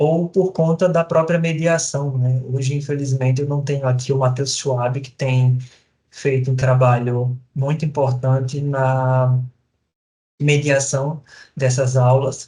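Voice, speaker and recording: A man speaks very slowly with a Sergipe accent, his medium-pitched voice somewhat breathy, dark and mellow in tone, and flat and monotone in intonation. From Brazil, Sergipe (Lagarto). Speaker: professor. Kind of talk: recorded lecture. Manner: halting, many fillers.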